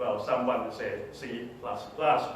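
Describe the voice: A man at a medium pitch, fairly slow and fairly even in intonation, with strong room echo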